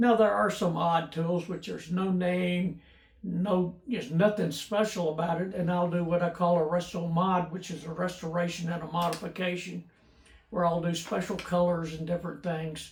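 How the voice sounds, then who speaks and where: Moderate pace with fairly even intonation. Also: man, high pitch for a man. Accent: Tennessee. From US South (Memphis, Tennessee). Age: 80s+. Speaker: YouTuber restoring old tools. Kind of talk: casual personal Q&A monologue. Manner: halting, many fillers and repeats.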